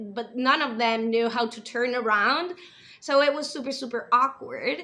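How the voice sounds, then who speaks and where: With a non-native accent and an animated tone, a woman speaks at a fairly slow pace in a high pitch with ordinary pitch variation over noticeable background noise. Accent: imperfect English, non-native feel. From US, then Spain from age nine. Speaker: TV show reviewer, video creator. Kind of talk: casual review monologue. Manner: animated, with fillers and restarts.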